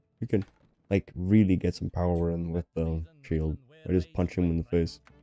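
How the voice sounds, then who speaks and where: Music plays in the background as a man speaks at a moderate pace. His pitch is very deep and low, and the sound is dry and close with no echo. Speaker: gamer streamer. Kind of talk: casual gameplay commentary. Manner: animated.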